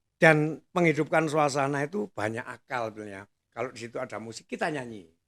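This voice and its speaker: A man with a fairly high pitch talks at a very fast pace. His intonation is lively, with big swings in loudness. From East Java, Indonesia (Nongkojajar, Pasuruan). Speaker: master of ceremonies. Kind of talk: casual chat.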